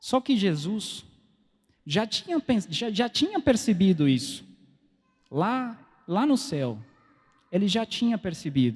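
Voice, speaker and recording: Speaking very slowly with long, frequent pauses, a man uses a high pitch that swings very widely, on a very clean recording with a silent background. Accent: non-native. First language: Spanish (speaking Portuguese). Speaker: preacher. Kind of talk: sermon. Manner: halting.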